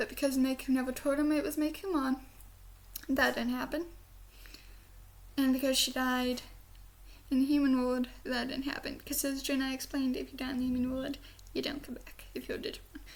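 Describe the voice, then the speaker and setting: A woman with an American accent speaks at a fairly quick pace in an animated tone, her pitch high with ordinary variation. Long, frequent pauses break up her speech, and there is noticeable background noise. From US South. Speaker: YouTuber, anime reviewer. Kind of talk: casual review monologue. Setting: home, bedroom, computer webcam. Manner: rambling, animated. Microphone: computer camera recording, poor quality.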